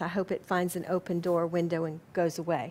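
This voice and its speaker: A woman with an American accent speaks at a fairly quick pace. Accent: southern US, comes out periodically. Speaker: spiritual organization president and lecturer. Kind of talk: lecture; audience Q&A. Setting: lecture hall with live audience.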